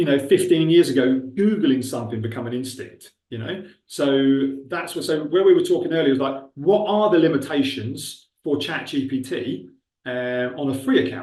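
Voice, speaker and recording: A man with a Buckinghamshire accent, fairly high in pitch, dark and mellow in tone, lively in intonation, at a moderate pace amid audible room echo. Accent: Milton Keynes. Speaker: webinar presenter on recruitment technology. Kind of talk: webinar tutorial with live demo. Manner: casual, conversational.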